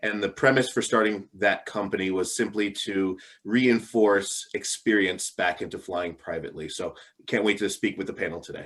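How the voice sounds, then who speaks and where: At a moderate pace, a man speaks with a fairly low pitch. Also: fairly even intonation. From New Jersey, US. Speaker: aviation company founder. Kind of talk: panel introduction. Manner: hesitant, many fillers.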